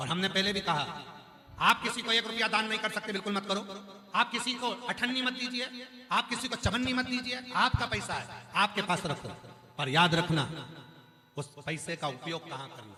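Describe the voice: A man speaks at a moderate pace in a high pitch. His tone is bright and sharp, with ordinary pitch variation.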